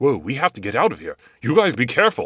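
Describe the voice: Man in a cartoonish character voice, medium pitch, very wide pitch swings and big swings in loudness, at a very fast pace, on a very clean recording with a silent background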